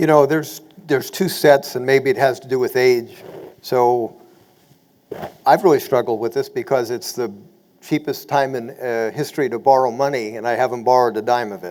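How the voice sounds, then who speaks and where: A man speaks in a normal speaking voice at a medium pitch and a fairly quick pace. His pitch variation is ordinary, with big swings in loudness. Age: 60s. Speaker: real estate investor panelist. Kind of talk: webinar panel discussion.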